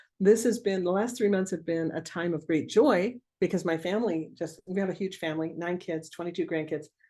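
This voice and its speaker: A woman's fairly low voice at a moderate pace, ordinary pitch variation, quiet background. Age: 60s. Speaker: remote viewing teacher. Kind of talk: webinar Q&A. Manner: casual, halting.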